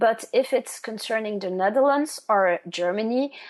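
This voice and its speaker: Against a quiet background, a woman with a Flemish accent talks at a moderate pace in a fairly high pitch. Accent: Flemish Dutch-accented English. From Flanders, Belgium. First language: Dutch. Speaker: genealogist. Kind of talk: interview. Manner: halting.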